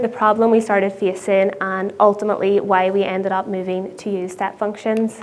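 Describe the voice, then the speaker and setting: A woman talks at a moderate pace. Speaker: conference speaker. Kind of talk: conference talk. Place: stage. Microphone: lapel.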